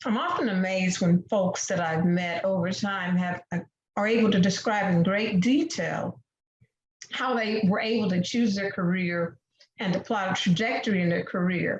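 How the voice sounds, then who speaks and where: A woman talks at a moderate pace in a normal speaking voice, medium in pitch with ordinary pitch variation. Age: 60s. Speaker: debate panelist. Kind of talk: prepared debate speech.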